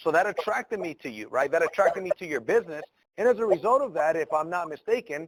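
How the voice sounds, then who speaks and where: A high-pitched man with an American accent at a fairly quick pace, in a dry, close sound with no echo. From Mexico, raised in the US from age 6. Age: 30s. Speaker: entrepreneur. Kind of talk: mentorship call.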